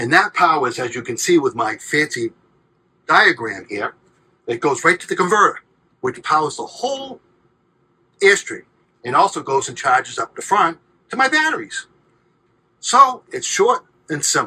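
At a moderate pace, a man with a fairly high pitch, a bright, sharp tone and a husky, rough edge makes big pitch swings, broken by long, frequent pauses.

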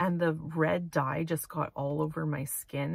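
A woman's very deep, low voice comes through with a dry sound and no echo. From Manitoba, Canada. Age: 30s. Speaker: vlogger. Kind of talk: casual vlog monologue. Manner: hesitant, many fillers. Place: car. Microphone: phone near.

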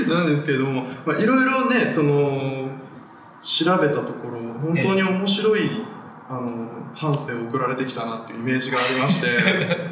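Light background noise and audible room echo surround the recording. A man talks at a moderate pace with a fairly high pitch. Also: lively intonation. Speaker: film writer, show host. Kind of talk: interview questions on a film talk show. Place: empty room.

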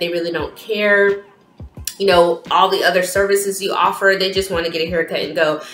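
A woman speaks in a fairly low, monotone, flat voice. Her words carry audible room echo, with faint music in the background. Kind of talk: casual vlog chat. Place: home room. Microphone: phone near.

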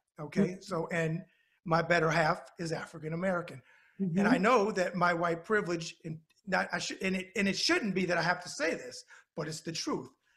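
With an animated tone, a man speaks at a fairly quick pace in a New York accent, his pitch high. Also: quiet background. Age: 50s. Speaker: web show host. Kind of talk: interview. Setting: video call. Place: office. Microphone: video call.

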